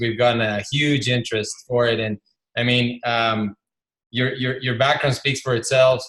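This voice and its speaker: Using a normal speaking voice, a man talks at a moderate pace. His pitch is medium, with fairly even intonation. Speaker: podcast host. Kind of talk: live interview intro.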